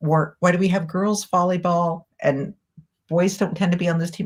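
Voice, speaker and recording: A somewhat breathy woman's voice of medium pitch, in an American accent, at a moderate pace. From rural Kansas. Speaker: communications director of a civil liberties group. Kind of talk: casual interview chat.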